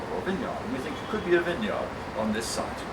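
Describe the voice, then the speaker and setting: A man with an English accent talks at a very fast pace, his pitch swinging very widely, over noticeable background noise and audible room echo. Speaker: volunteer tour guide. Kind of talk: guided tour talk. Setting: outdoors.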